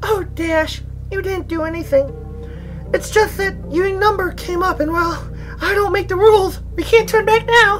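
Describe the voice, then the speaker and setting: Over loud music in the background, a put-on character voice speaks at an extremely high pitch and a moderate pace. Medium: read story. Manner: bubbly, giggly, upbeat.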